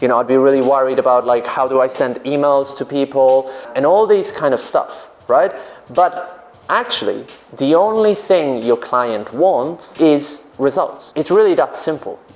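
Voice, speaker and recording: Over noticeable background noise, a man with a Polish accent speaks at a fairly high pitch, his intonation lively and his loudness very even. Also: moderate pace. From Poland. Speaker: business coach for English teachers. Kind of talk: vlog-style advice talk.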